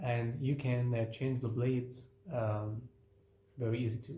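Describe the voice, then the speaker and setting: Over noticeable background noise, a man with a non-native accent talks at a fairly slow pace in a medium pitch with fairly even intonation. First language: not English. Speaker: craft teacher. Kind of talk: tutorial. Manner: halting, many fillers.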